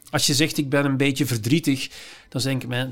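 A man's fairly high voice with a Flemish accent, on a very clean recording with a silent background. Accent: Flemish Dutch. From Flanders, Belgium. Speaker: psychiatrist and philosopher. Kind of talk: casual interview.

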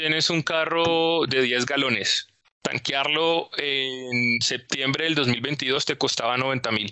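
A man's fairly high voice at a very slow pace, with fairly even intonation and very even loudness. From Colombia, Neiva. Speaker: oil and gas analyst. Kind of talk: explanatory interview.

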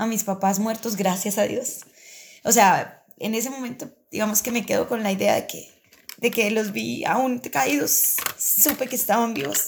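Ordinary pitch variation marks this fairly slow delivery. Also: woman. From Colombia, Boyacá (Muzo). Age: 40s. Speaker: schoolteacher. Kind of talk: personal testimony interview. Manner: halting, with frequent repetitions.

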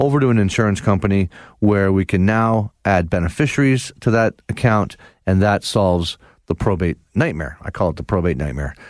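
In a very clean recording with a silent background and a dry, close sound with no echo, a man speaks in an ordinary speaking voice, fairly low in pitch, with lively intonation at a fairly quick pace. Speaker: radio host. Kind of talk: radio dj patter: upbeat Sunday-morning host banter, bright welcome. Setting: radio studio broadcast. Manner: chatty, warm, easygoing, bantering.

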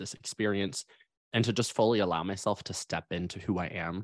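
Against a quiet background, a man talks in a normal speaking voice at a fairly low pitch. His pace is fairly quick, with fairly even intonation. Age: 20s. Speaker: transformational coach and stylist. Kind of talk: interview.

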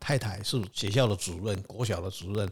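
With lively intonation and a somewhat breathy quality, a man talks at a fairly quick pace. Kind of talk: casual chat.

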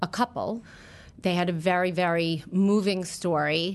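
With an American accent, a woman uses an ordinary speaking voice at medium pitch, speaking at a fairly slow pace with fairly even intonation against a quiet background. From New York, Long Island. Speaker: retail stylist. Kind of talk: storytelling interview.

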